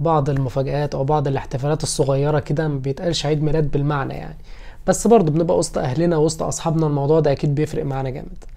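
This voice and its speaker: In an Egyptian accent, a man speaks at a very fast pace with a fairly high pitch and a dark, mellow tone. His intonation is monotone and flat, and the background is quiet. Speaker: lawyer and YouTuber; lawyer, YouTuber. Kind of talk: personal vlog. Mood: warm, grateful, a bit wistful. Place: home room. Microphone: phone near.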